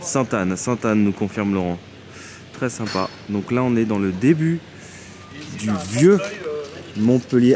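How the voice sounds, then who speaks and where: Against noticeable background noise, a man speaks in a Parisian accent at a moderate pace. He takes long, frequent pauses. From Paris area. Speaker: travel vlogger. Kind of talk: casual vlog chat. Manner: animated.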